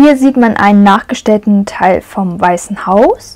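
Talking at a very slow pace, a woman shows ordinary pitch variation. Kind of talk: casual tour commentary. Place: hall. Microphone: phone near.

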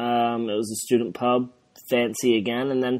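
A man speaks with an American accent at a moderate pace and medium pitch. The recording is very clean, with a silent background. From southern England. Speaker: football podcast co-host. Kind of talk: casual chat. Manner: animated.

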